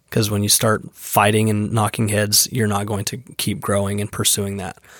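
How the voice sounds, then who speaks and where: In an ordinary speaking voice, a man talks at a fairly low pitch and a moderate pace on a very clean recording with a silent background. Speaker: roofing business owner. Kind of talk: casual interview chat. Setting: studio.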